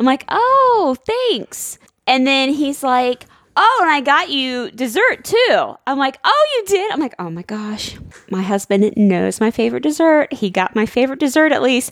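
A woman speaks in a high voice. Her pitch swings very widely. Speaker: podcast co-host. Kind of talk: casual chat. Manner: animated.

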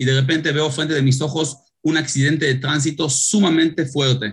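A man with an unremarkable speaking voice, fairly even intonation and a moderate pace. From Israel. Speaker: paramedic and startup founder. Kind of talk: interview.

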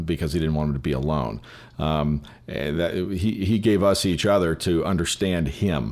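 This man's pitch is very deep and low. His pitch variation is ordinary. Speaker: filmmaker. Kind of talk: casual chat. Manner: fast.

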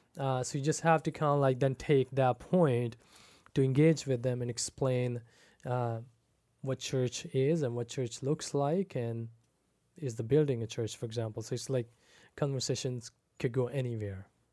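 Dark and mellow in tone, a man's medium-pitched voice holds a fairly even intonation at a moderate pace. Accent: slight Pakistani. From Pakistan. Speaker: pastor. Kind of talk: casual chat.

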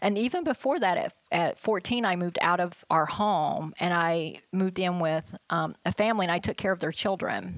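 Her pitch is fairly low, with ordinary variation, and the woman keeps a moderate pace. Her loudness stays very even throughout. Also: hardly any pauses. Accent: American. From West Virginia. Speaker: staffing executive, military veteran. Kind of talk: interview. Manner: halting, many fillers.

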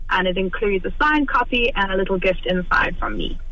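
A woman with lively intonation, plus audible room echo. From South Africa. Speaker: author. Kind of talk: radio interview.

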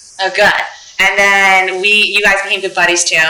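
In an American accent, a woman talks at a very fast pace, with audible room echo and noticeable background noise around her. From Philadelphia. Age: 30s. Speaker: podcast host. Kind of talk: interview.

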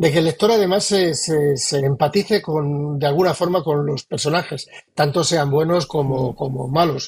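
At a moderate pace, a man speaks in a fairly high, somewhat breathy voice with fairly even intonation. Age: 60s. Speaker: novelist. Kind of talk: interview. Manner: halting.

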